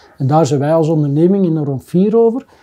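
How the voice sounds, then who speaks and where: This man speaks at a high pitch with a dark, mellow tone. His pace is fairly quick and his pitch varies in an ordinary way. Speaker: business owner. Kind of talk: casual chat.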